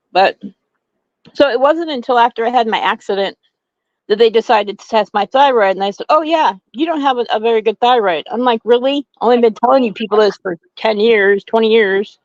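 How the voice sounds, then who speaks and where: In a normal speaking voice, a woman with a fairly high pitch talks at a fairly quick pace with ordinary pitch variation and big swings in loudness, the sound dry and close with no echo. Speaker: co-host. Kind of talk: casual chat.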